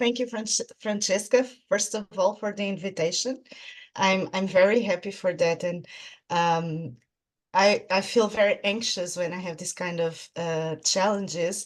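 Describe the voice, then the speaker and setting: Speaking slowly-ish at a fairly slow pace, a woman with a Portuguese accent keeps a medium pitch. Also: ordinary pitch variation. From Portugal. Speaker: clinical psychologist. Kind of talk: interview. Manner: halting.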